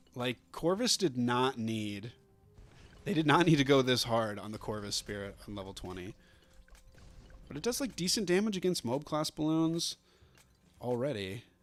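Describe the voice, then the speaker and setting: Music plays in the background as a man speaks at a moderate pace in a medium pitch, with long, frequent pauses. His pitch swings very widely, and his loudness shifts in big swings. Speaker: gaming streamer. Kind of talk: live gameplay commentary. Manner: casual, filler-heavy.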